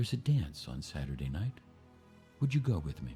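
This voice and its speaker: Over clear music in the background, a gruff put-on character voice moves fairly quickly with very wide pitch swings. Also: man, very deep, low pitch for a man. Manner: rough, gruff.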